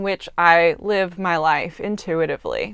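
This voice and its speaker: Against a quiet background, a woman talks in a normal speaking voice at a fairly slow pace with fairly even intonation. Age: 20s. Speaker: podcast host. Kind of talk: solo reflective monologue.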